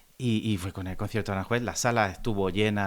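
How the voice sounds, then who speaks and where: A man with a Spanish accent, a fairly low pitch, and fairly even intonation, in a very clean recording with a silent background. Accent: Spanish accent, imitated by Mexicans. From Andalusia, Spain. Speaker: classical guitarist. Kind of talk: interview conversation.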